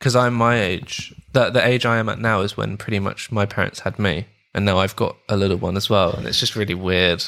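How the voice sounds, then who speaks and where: A man talks at a fairly quick pace with hardly any pauses, his fairly low pitch showing ordinary variation, in a London accent. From London, England. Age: 20s. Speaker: musical composer and audio engineer. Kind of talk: casual chat. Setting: video call.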